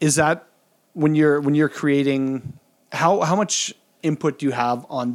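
A man at a fairly high pitch, fairly slow, with long, frequent pauses. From Saskatchewan, Canada. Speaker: podcast host. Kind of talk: casual interview. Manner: halting.

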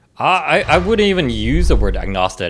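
Vocal fry runs through a man's speech, delivered at a moderate pace. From Korean heritage. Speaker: podcast co-host. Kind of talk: casual chat. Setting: remote recording.

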